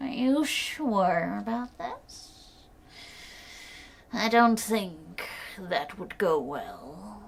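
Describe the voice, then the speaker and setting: A woman puts on a character voice at a medium pitch. She speaks at a very slow pace with long, frequent pauses. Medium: read story. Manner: sly, drawn-out.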